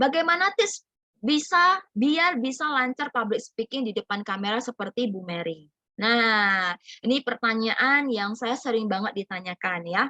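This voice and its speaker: A bright, sharp tone at a moderate pace, dry and close with no echo. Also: woman. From North Sumatra (Medan). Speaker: business community mentor. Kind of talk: online group presentation. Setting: video call. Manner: animated.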